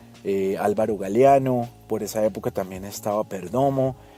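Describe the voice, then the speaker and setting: A man speaks with a Colombian accent. Music plays in the background. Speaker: radio announcer. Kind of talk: casual podcast storytelling.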